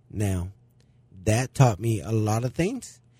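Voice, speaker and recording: In a very clean recording with a silent background and a dry, close sound with no echo, a man speaks at a medium pitch, somewhat breathy, with a dark, mellow tone. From Mexico. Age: 40s. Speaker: small business owner. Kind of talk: interview.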